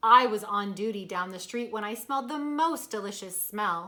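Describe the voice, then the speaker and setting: A woman performs a put-on character voice at a moderate pace. Her intonation is lively, and her loudness swings widely. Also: medium pitch for a woman. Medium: read story.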